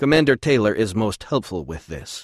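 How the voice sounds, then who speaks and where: Putting on a growling character voice, a man speaks at medium pitch and a moderate pace, his pitch swinging very widely. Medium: read story.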